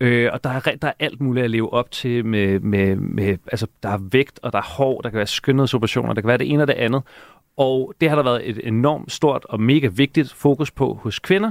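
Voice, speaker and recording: A man with an ordinary speaking voice talks at a moderate pace, with medium pitch and ordinary pitch variation. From Denmark, Hellerup north of Copenhagen. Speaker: TV presenter. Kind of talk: casual chat. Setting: radio studio.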